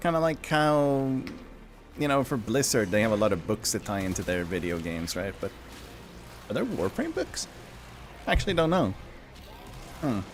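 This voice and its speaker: Speaking in a Swedish accent at a moderate pace, a man with a medium pitch makes very wide pitch swings and takes long, frequent pauses. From Sweden. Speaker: gaming streamer. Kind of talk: live game stream chat. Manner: casual, hesitant with fillers.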